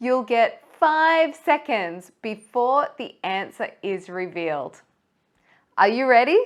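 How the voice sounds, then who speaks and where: A woman with an Australian accent, high-pitched, very slow, with very wide pitch swings, on a very clean recording with a silent background. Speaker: English teacher. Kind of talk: pronunciation lesson to camera. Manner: slow, clear.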